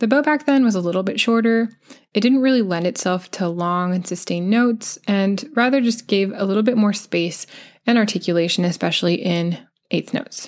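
This woman has an ordinary speaking voice with an American accent, medium in pitch with ordinary pitch variation. She talks at a fairly quick pace, her loudness very even. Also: very clean recording, silent background. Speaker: violin teacher and podcast host. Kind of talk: scripted educational podcast. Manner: clear, friendly, explanatory.

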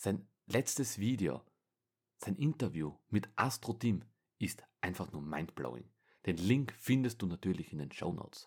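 Vocal fry runs through this man's fairly low voice as he talks at a fairly slow pace. His pitch swings very widely. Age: 20s. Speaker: podcast host. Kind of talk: solo monologue.

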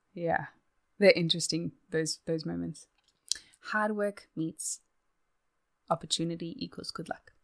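With a slight Australian accent, the speaker goes at a fairly slow pace with ordinary pitch variation and long, frequent pauses, the sound dry and close with no echo. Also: woman. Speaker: guest. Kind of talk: casual chat.

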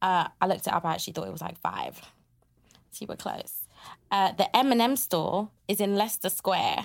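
A woman with vocal fry speaks at a fairly quick pace and ordinary pitch variation, leaving long, frequent pauses. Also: medium pitch for a woman. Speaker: podcast host. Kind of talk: casual interview. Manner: animated.

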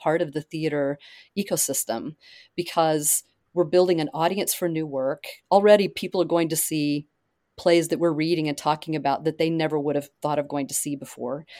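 A woman talks at a moderate pace in a plain, everyday voice, with a fairly low pitch and ordinary pitch variation. The sound is dry and close with no echo, on a very clean recording with a silent background. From Oklahoma. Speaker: playwright and nonprofit leader. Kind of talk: casual interview.

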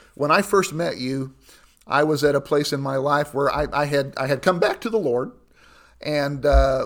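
Recorded very cleanly against a silent background, a man with a fairly high pitch and a Midwestern American accent speaks at a moderate pace. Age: 60s. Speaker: pastor. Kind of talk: interview.

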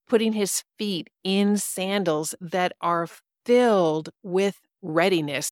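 A woman at a very slow pace, the sound dry and close with no echo. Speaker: podcast host and stepfamily coach. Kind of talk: fervent guided prayer, leading listeners through visualization of armor of God; devotional teaching with prayer. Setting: studio podcast recording. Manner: earnest, warm, exhorting and imploring, urgent pastoral intensity.

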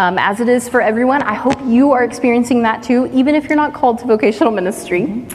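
With an American accent, a woman speaks very fast in a high voice, hardly pausing, her loudness very even, as music plays in the background. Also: ordinary pitch variation. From East Texas. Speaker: pastoral resident. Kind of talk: church interview testimony.

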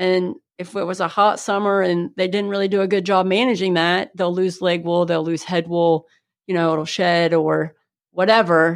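Delivered at a moderate pace in a Midwestern American accent, the speech has fairly even intonation. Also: woman, fairly low pitch for a woman. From northern Ohio (Seneca County). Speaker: agricultural educator and sheep breeder. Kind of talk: interview.

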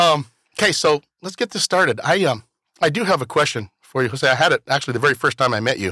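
Speaking at a very fast pace, a man with a fairly high pitch makes very wide pitch swings in a dry, close sound with no echo. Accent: American. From Washington, Yakima Valley (Toppenish). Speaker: podcast host. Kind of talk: interview. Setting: studio.

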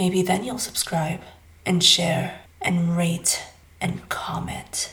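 A put-on character voice, breathy and at a middle pitch. It moves at a very slow pace.

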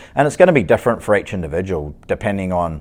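Very fast speech comes from a man whose voice sits fairly low in pitch. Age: 40s. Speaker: strength and conditioning coach, podcast host. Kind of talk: solo podcast monologue. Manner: casual, with many filler words.

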